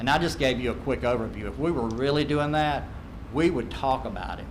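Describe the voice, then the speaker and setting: Audible room echo and noticeable background noise surround a man speaking at a fairly quick pace with an American accent. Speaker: accreditation consultant. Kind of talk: presentation to school board. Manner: fast.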